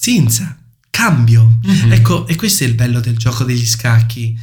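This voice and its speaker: There is audible room echo around this man's voice. His pitch is medium, with ordinary variation. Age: 30s. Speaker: chess player and instructor. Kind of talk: interview.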